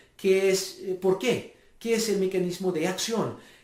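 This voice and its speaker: A man with a non-native accent speaks in a high voice. There is audible echo from the room. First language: not Spanish (speaking Spanish). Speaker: stem cell researcher. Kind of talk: lecture. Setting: home video recording. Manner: halting.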